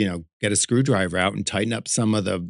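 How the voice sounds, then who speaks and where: At a fairly quick pace, a man with an American accent talks in an ordinary speaking voice, fairly low in pitch with ordinary pitch variation, against a quiet background. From Connecticut, USA. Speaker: drag performer and artist. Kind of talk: interview answer. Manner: casual, chatty.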